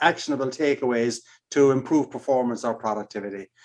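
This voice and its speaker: This is a man speaking. He has an Irish accent. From Ireland. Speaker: keynote speaker and consultant. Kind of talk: podcast interview.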